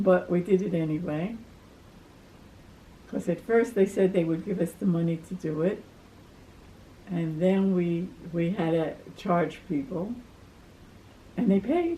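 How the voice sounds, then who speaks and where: A woman speaks in a fairly low, somewhat breathy voice with a dark, mellow tone and fairly even intonation. Her pace is fairly slow, with long, frequent pauses. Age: 80s+. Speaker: retired community volunteer. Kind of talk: life story interview. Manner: halting.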